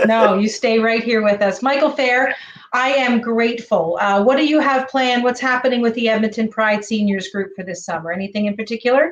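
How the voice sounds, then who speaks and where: This is an ordinary speaking voice at a fairly quick pace. Its pitch varies in an ordinary way. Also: woman, fairly high pitch for a woman. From Ontario, Canada. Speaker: talk show host. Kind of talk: interview.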